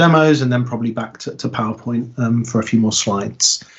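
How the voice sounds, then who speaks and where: Medium in pitch, this man has a British accent. He keeps a moderate pace. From Britain. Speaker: software consultant and conference speaker. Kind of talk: technical talk. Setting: online meetup video call. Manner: halting, many fillers.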